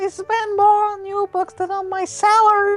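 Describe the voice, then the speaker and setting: A put-on, squeaky, female-sounding character voice at an extremely high pitch, with monotone, flat intonation and a moderate pace. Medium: read story. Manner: nervous, apologetic, mood swings.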